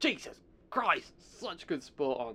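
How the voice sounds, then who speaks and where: A man speaks with an English accent. His pitch sits in the medium range. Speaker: podcast host. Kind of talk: casual solo chat.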